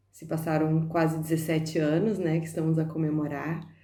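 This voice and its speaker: With audible room echo, a woman speaks fairly slowly in a very deep, low pitch, her tone dark and mellow and her intonation flat and monotone. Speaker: dancer and dance teacher. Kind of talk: documentary interview testimony.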